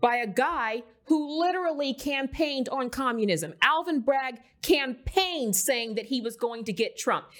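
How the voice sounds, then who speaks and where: A woman with an American accent speaks in a high, animated voice. Her pace is moderate. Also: lively intonation. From US, military family. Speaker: podcast host and author. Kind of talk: casual political interview. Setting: studio.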